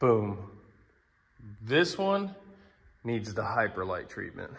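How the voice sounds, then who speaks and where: At a medium pitch and a very slow pace, a man's somewhat breathy voice swings widely in pitch amid audible room echo. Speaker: car and shop vlogger. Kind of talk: casual vlog talk to camera. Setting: in a workshop. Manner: animated, excited.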